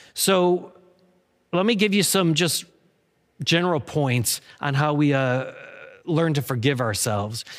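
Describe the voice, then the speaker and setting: A man's fairly high voice at a fairly slow pace, with lively intonation, very even loudness and long, frequent pauses. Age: 50s. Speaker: pastor. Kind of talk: sermon. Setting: recorded in an empty room. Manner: halting; less energetic than usual.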